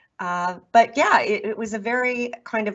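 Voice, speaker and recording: A woman speaks with a Chicago accent. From US Midwest, Chicago. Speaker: author and podcast host. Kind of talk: interview.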